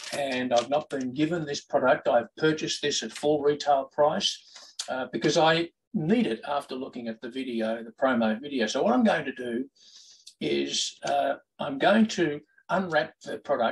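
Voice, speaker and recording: With lively intonation, an unremarkable speaking voice moves at a moderate pace. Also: man, fairly high pitch for a man. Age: 60s. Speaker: golf vlogger. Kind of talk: product review. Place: home room. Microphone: webcam.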